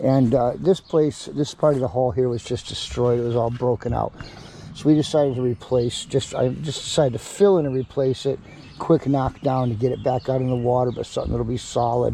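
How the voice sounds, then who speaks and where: A man's medium-pitched voice at a fairly quick pace, with ordinary pitch variation and noticeable background noise. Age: 60s. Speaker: DIY boat repair youtuber. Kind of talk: tutorial. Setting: outdoors in backyard, humid. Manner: hesitant, many fillers and repeated words; trying to be quiet.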